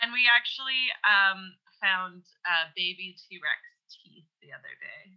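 In a Canadian accent, a woman with an ordinary speaking voice and medium pitch talks at a fairly slow pace, with ordinary pitch variation and big swings in loudness. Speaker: podcast guest. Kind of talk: casual chat. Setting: remote call.

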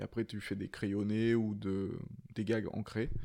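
This man has a dark, mellow tone and a fairly low pitch, and he speaks at a fairly slow pace. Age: 30s. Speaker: comic book author. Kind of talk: casual chat.

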